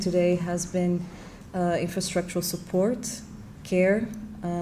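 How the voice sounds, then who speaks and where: Flat, monotone delivery from a woman at a medium pitch and fairly slow pace, with audible room echo. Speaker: moderator. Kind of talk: panel conversation.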